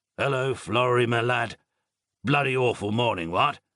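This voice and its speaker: A man puts on a raspy character voice at a medium pitch. He keeps a moderate pace with ordinary pitch variation. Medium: read story. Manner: clipped, soldierly, drops words, joking.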